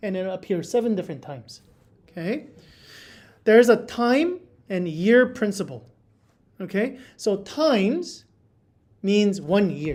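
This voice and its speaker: Speaking at a fairly slow pace with long, frequent pauses, a woman at medium pitch swings very widely up and down in pitch. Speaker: Bible study teacher. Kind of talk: Bible study lesson with group. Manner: casual, filler-heavy.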